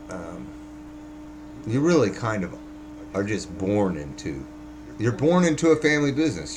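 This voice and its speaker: A man speaks with very wide pitch swings and long, frequent pauses, and there is audible room echo along with noticeable background noise. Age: 50s. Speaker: vlogger, former house framer. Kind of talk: casual monologue. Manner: halting.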